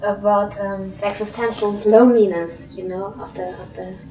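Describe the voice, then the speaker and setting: A woman with a German accent speaks at a moderate pace in a medium pitch, her intonation fairly even but her loudness swinging widely. Noticeable background noise and audible room echo fill the recording. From Germany. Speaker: interviewer. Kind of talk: interview. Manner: halting.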